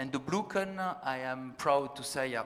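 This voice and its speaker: Speaking in a French accent, the man keeps his pitch in the medium range. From France. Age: 40s. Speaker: science fiction writer, panel moderator. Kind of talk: panel discussion. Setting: stage with audience. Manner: halting.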